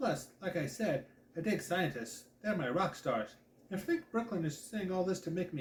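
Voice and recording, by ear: Someone reads aloud in a natural voice, and the pitch shifts by an ordinary amount.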